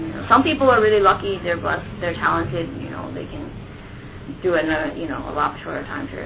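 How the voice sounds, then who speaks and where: A woman's fairly low voice, with audible room echo and noticeable background noise. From US, bilingual Japanese household. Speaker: anime and video game translator. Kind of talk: interview.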